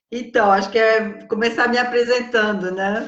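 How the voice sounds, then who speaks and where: The intonation stays fairly even. There is audible room echo around the voice. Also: woman. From France. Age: 60s. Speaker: psychologist and writer. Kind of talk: interview.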